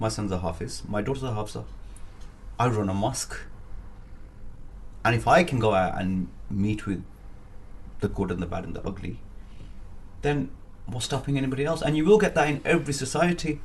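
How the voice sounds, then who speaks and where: With audible room echo, a somewhat breathy man speaks at a fairly quick pace with lively intonation and long, frequent pauses. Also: medium pitch for a man. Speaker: business networker, boxer and aspiring politician. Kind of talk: interview. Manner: energetic.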